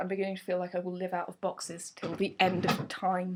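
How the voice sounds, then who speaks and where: Over noticeable background noise, a woman with a southern English accent talks at a very fast pace at a medium pitch. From southern England, Surrey. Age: 20s. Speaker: vlogger. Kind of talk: casual vlog. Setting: at home.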